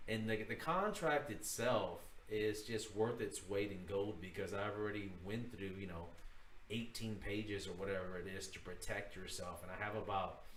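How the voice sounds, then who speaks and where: In a room with audible echo, a man speaks in a somewhat breathy, fairly low voice with ordinary pitch variation. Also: moderate pace. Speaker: real estate broker teaching a course. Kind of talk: livestream tutorial. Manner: casual, filler-heavy.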